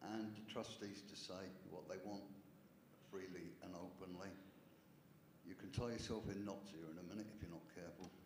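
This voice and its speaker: A man's very deep, low pitch in monotone, flat intonation, with long, frequent pauses, audible room echo and noticeable background noise. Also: moderate pace. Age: 70s. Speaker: parish councillor. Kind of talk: council meeting debate. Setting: parish council meeting.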